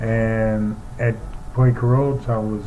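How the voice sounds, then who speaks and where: An American-accented man speaks at a medium pitch in a monotone, flat way, with audible room echo. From New York City (Harlem). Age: 70s. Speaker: former pro basketball player and sportscaster. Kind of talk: interview reminiscence.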